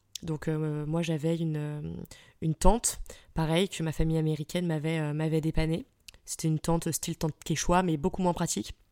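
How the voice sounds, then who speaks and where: A woman's very deep, low, dark and mellow voice, monotone and flat, at a moderate pace with long, frequent pauses, dry and close with no echo in a very clean recording with a silent background. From France, Île-de-France (Fontainebleau) and Troyes. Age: 30s. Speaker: podcaster. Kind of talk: casual solo storytelling. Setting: solo at the microphone. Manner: spontaneous, many hesitations (euh).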